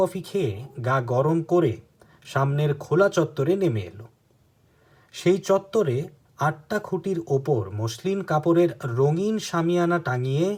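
With a normal speaking voice, a man talks at a fairly high pitch using lively intonation. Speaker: book narrator and channel host. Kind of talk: reading aloud; casual commentary.

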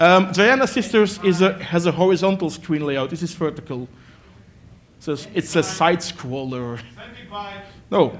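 A man with a high voice speaks at a fairly slow pace against light background noise. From Belgium. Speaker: IT worker and arcade collector; presenter. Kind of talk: lecture. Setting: stage with audience. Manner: halting. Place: hall.

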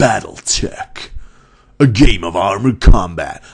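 A man talks in a put-on character voice at a fairly slow pace. His pitch sits fairly low. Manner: dramatic, announcing.

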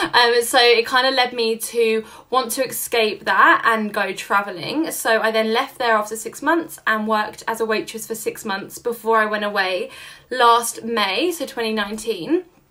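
Speaking with a London accent, a woman uses a fairly high, bright, sharp voice at a fairly slow pace over a quiet background. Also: ordinary pitch variation. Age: 20s. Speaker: social media entrepreneur. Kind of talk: casual chat. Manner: animated. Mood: relaxed, reflective. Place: home room.

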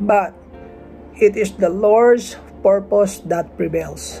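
Over faint background music, a man speaks slowly at a high pitch with a slightly mellow tone.

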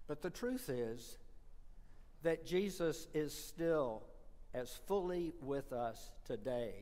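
Speaking at a very slow pace with an American accent, a man uses lively intonation in a fairly high voice with a dark, mellow tone. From US South. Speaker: priest. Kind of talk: sermon. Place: church.

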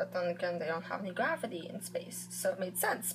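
Light background noise sits behind a woman talking at a moderate pace. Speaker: reaction vlogger. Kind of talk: casual vlog chat. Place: home room. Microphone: webcam.

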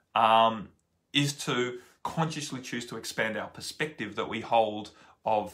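A man's bright, sharp tone at a fairly slow pace, fairly even intonation, and a quiet background. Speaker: spiritual teacher. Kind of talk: casual vlog chat. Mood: calm, earnest. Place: home room. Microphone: phone near.

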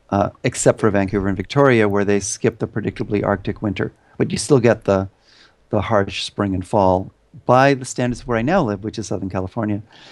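A man with a Canadian accent talks at a fairly quick pace in an ordinary speaking voice, with fairly low pitch and ordinary pitch variation. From Canada. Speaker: professor of evolutionary biology. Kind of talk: interview. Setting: video call.

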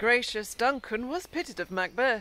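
Bright, sharp in tone and high in pitch, a woman speaks at a fairly slow pace with very wide pitch swings. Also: dry sound with no echo. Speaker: actor performing a monologue. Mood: intense, ironic, theatrical. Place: forest. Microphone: phone near.

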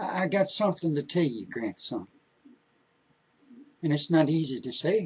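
Using a put-on character voice, a man speaks at a moderate pace with a fairly high pitch, big pitch swings, a fairly bright tone and a slightly husky edge.

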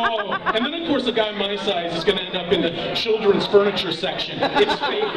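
Crowd noise fills the background. Over it, a man speaks at a fairly quick pace. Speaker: stand-up comedian. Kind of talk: stand-up comedy routine. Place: bar.

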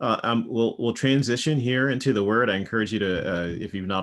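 Keeping to a moderate pace, the man lets his pitch vary in an ordinary way. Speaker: pastor. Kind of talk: sermon. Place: home room. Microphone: webcam.

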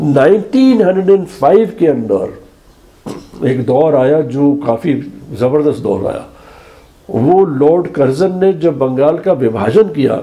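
A man's very slow delivery with lively intonation. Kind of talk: interview answer. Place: home room. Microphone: lapel.

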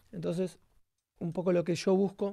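Against a quiet background, a man with a dark, mellow tone speaks at a moderate pace. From Argentina. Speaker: bassist and singer; guest. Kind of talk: tutorial. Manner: halting, many fillers. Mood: calm, explanatory. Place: studio. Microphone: video call.

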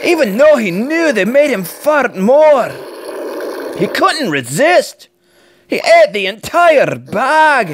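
Very slowly, a man with a Scottish accent speaks, his pitch swinging very widely. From Scotland. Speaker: dad reading stories. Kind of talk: children's book read-aloud. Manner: energetic.

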